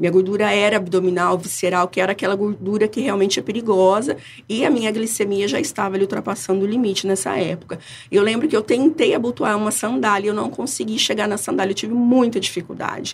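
Her pace is very fast. The woman speaks at a medium pitch with ordinary pitch variation. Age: 40s. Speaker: product consultant. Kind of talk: interview. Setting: studio.

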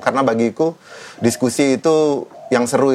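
Amid noticeable background noise, a man speaks with fairly even intonation. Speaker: rock band vocalist and activist. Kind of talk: casual interview conversation.

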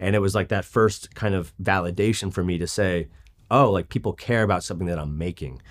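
A man speaks at a fairly quick pace in an ordinary speaking voice with a fairly low pitch, on a very clean recording with a silent background. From New York, moved to California as a teen. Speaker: streetwear brand founder. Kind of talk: interview. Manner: casual, filler-heavy speech.

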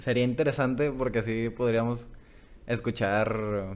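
Very slowly, a man talks at medium pitch with fairly even intonation. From Culiacán, Sinaloa, Mexico. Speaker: podcast co-host, aspiring fantasy writer. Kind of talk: casual chat. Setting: homemade recording at home.

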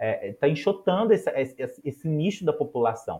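A somewhat breathy man talks at a moderate pace. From Minas Gerais, Brazil. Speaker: music educator and researcher. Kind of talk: interview conversation.

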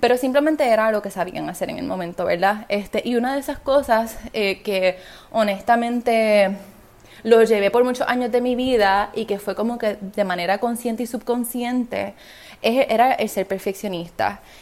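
Her fairly high voice moves at a moderate pace, and the woman's pitch varies in an ordinary way. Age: 20s. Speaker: podcast host and business coach. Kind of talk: solo podcast monologue. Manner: animated.

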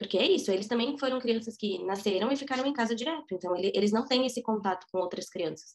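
Talking at a very fast pace with hardly any pauses, a woman with a fairly high pitch uses lively intonation. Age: 20s. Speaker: preschool teacher. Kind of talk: interview testimony.

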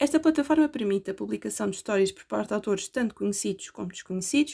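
Recorded very cleanly over a silent background, a woman in a European Portuguese accent talks at a very fast pace with a dark, mellow tone. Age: 20s. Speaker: university student. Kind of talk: scripted narration.

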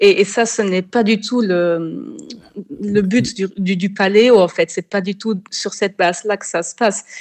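A woman speaks at a fairly slow pace in a normal speaking voice, her pitch medium with ordinary variation. Her loudness swings a lot. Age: 30s. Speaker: food blogger. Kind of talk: interview.

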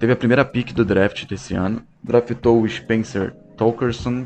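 The man speaks with a monotone, flat intonation. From Brazil, Rio de Janeiro (Bangu). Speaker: sports podcaster. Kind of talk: solo casual monologue.

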